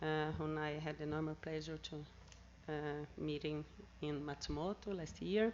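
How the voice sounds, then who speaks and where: A woman's very deep, low voice with a Brazilian Portuguese accent at a moderate pace. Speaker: seminar speaker on anti-corruption work. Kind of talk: conference talk. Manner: halting.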